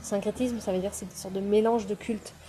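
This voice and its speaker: In a somewhat breathy voice with a dark, mellow tone, a woman speaks at a medium pitch with monotone, flat intonation. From France, Pyrénées-Atlantiques. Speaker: spiritual teacher. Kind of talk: online masterclass. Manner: hesitant, many fillers.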